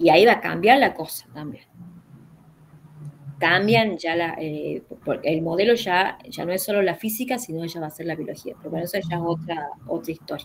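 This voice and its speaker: A woman speaks with a fairly low pitch and ordinary pitch variation. Her loudness swings widely. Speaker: philosophy teacher. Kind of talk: online class consultation. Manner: fast; halting.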